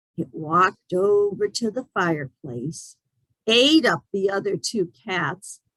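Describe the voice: Against a quiet background, the voice gives a plain reading aloud.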